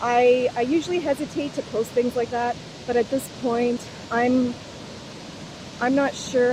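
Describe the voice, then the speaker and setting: Loud and animated, a woman talks at a moderate pace through noticeable background noise. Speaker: spiritual vlogger. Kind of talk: unscripted monologue.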